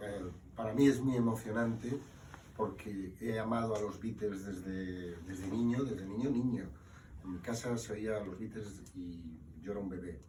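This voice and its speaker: With audible room echo and noticeable background noise, a man talks at a fairly quick pace in a fairly low pitch with ordinary pitch variation. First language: Spanish. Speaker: book author. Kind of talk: book presentation talk. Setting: live event with audience.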